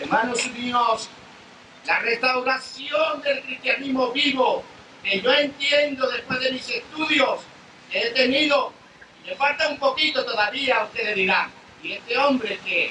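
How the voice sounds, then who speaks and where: Over noticeable background noise, a man with an extremely high pitch uses a raised, projected voice at a fairly slow pace with ordinary pitch variation. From Spain. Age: 70s. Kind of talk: testimony.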